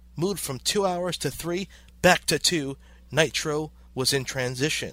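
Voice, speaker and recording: With an American accent and an ordinary speaking voice, a man talks at a fairly slow pace and a fairly high pitch with ordinary pitch variation on a very clean recording with a silent background. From New York City (Brooklyn). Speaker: wrestling podcast host and ring announcer. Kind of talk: scripted narration.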